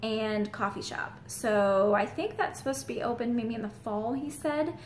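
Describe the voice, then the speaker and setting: Audible room echo surrounds this woman's voice. She speaks at a fairly slow pace with a fairly high pitch. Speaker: real estate agent. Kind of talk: vlog.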